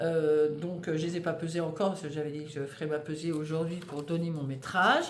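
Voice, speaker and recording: Recorded with audible room echo, a woman talks fairly quickly at a very deep, low pitch with fairly even intonation. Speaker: knitting podcaster. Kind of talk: casual monologue. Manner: hesitant, many fillers.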